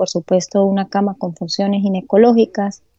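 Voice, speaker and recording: A woman's medium-pitched, monotone, flat delivery, with music in the background. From Venezuela, Táchira (San Cristóbal). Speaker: obstetrician-gynecologist. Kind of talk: interview conversation.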